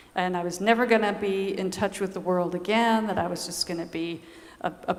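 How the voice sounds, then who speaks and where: A soft-spoken woman with an American accent talks at a moderate pace in a medium pitch. Her intonation is monotone and flat, with audible room echo. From US South, Georgia. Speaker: nun. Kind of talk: conference talk.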